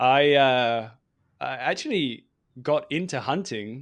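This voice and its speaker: Over a quiet background, a man talks with a British accent. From England. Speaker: hunting podcast host. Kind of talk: podcast interview.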